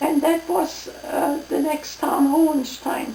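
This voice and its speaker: A woman's very slow, high-pitched speech in a German accent, with noticeable background noise. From East Prussia, Germany. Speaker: WWII refugee. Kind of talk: oral history interview answer. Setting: at home.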